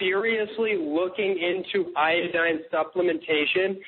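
A man with an American accent and a high pitch speaks at a fairly slow pace against noticeable background noise. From US West Coast (San Francisco Bay Area). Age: 20s. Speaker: raw food nutrition advocate. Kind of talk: interview. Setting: phone call.

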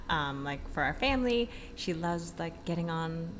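A woman is speaking. Audible room echo is present. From Filipino background. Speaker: fitness entrepreneur. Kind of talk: casual interview. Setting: hotel.

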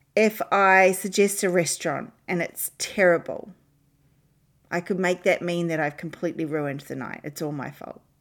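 A woman's unremarkable speaking voice, fairly low in pitch, with ordinary pitch variation at a moderate pace. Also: very clean recording, silent background. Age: 40s. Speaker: leadership coach podcast host. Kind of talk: solo podcast talk.

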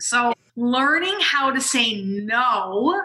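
Speaking with an American accent, a woman uses a raised, projected voice that is high-pitched, bright and sharp in tone, with lively intonation. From USA. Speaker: business coach and nurse. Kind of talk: interview storytelling. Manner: energetic.

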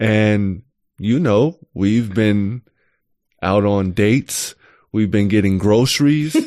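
A man speaks at a very slow pace in a fairly low voice with a dark, mellow tone, ordinary pitch variation and very even loudness, leaving long, frequent pauses against a quiet background. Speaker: chief technology officer and data scientist. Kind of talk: casual chat.

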